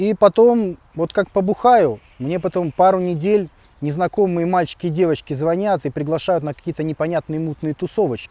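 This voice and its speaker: Moving at a moderate speed, this voice carries a dark, mellow tone and ordinary pitch variation. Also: man, high pitch for a man. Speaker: video blogger. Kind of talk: vlog Q&A monologue.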